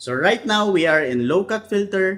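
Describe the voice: A man with a fairly bright tone and high pitch speaks at a moderate pace with lively intonation.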